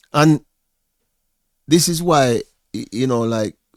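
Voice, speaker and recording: A man talks with a Jamaican accent and ordinary pitch variation. The recording is very clean, with a silent background and a dry, close sound with no echo. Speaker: vlogger. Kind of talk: reaction commentary. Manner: halting, repetitive.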